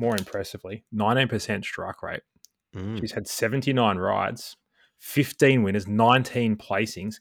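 Speaking very slowly with an Australian accent, a man keeps a medium pitch and fairly even intonation in a very clean recording with a silent background and a dry, close sound with no echo. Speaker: guest co-host, form analyst and former golf pro. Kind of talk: casual banter podcast about horse racing. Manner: jokey, dry humour.

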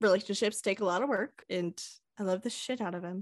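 Heard in a very clean, dry, close recording with a silent background and no echo, a woman with an American accent uses an unremarkable speaking voice at medium pitch, a moderate pace and fairly even intonation. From Kansas, small town. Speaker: podcast co-host. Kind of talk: casual chat.

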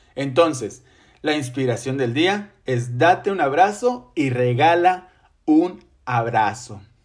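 A man with a fairly high pitch speaks at a very slow pace, his intonation lively. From Mexico, Ciudad Victoria, Tamaulipas. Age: 30s. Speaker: podcast host and teacher. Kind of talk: solo podcast monologue.

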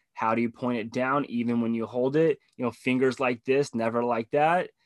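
Over a quiet background, a man with an American accent uses an ordinary speaking voice at medium pitch, with fairly even intonation, a fairly quick pace, and a dry, close sound with no echo. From Southern California. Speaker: tech professional and divorced father of two. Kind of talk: casual chat.

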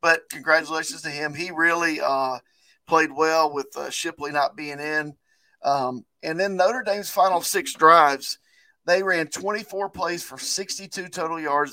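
Recorded very cleanly against a silent background, a man speaks in a fairly high pitch with a bright, sharp tone. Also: dry, close sound with no echo. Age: 40s. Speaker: sports podcast co-host. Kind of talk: casual chat. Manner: less lively than usual.

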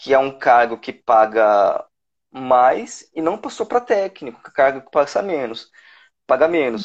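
This man speaks fairly slowly. His pitch rises and falls across a very wide range. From São Paulo, Brazil. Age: 30s. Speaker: civil service exam candidate, lawyer. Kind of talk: casual interview.

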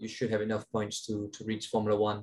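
A man with a Danish accent talks at a very fast pace. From Denmark. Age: 20s. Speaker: racing driver. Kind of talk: interview.

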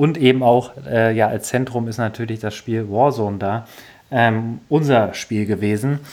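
A man speaks in an unremarkable speaking voice. His pace is fairly slow and his intonation fairly even. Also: medium pitch for a man. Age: 20s. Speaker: podcast host, gamer. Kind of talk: casual chat.

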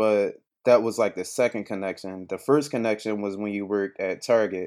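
In a Philadelphia accent, the speaker talks at a moderate pace with fairly even intonation on a very clean recording with a silent background. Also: man. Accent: Philadelphia American. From Philadelphia, US. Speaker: entrepreneur. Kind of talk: interview.

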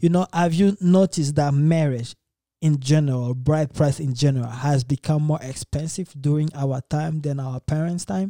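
A man's dark, mellow tone at a fairly high pitch, with ordinary pitch variation, a moderate pace and a dry, close sound with no echo. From Democratic Republic of Congo. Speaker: podcast host. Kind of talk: casual chat.

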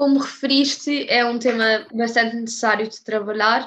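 A woman's raised, projected voice with a bright, sharp tone, fairly even intonation and a moderate pace. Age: young. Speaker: student podcast host. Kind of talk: interview.

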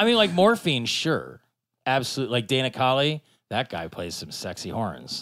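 In a very clean recording with a silent background, a man speaks at a moderate pace at a medium pitch. His pitch swings very widely, and his loudness swings a lot. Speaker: podcast co-host. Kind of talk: casual chat.

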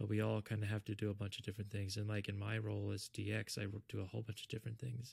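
A man with a fairly low voice talks very fast in an American accent, somewhat breathy and with monotone, flat intonation. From US South (South Florida). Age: 30s. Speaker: software engineer. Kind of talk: testimony; casual chat.

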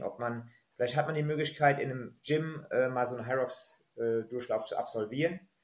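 The voice is somewhat breathy and keeps a fairly quick pace. Its intonation stays fairly even. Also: man. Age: 30s. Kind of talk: podcast interview.

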